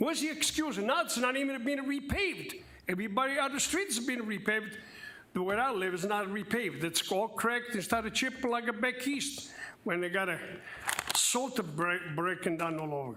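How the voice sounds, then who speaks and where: Through noticeable background noise, a man projects his raised voice at an extremely high pitch, moving at a fairly quick pace with lively intonation. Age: 70s. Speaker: public commenter at city council meeting. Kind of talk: public comment.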